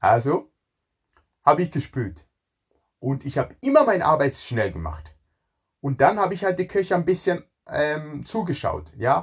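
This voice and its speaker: At a moderate pace, a man with vocal fry and a fairly high pitch speaks with long, frequent pauses. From Ghana. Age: 40s. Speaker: chef. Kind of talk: personal life story monologue. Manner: halting, repeats words.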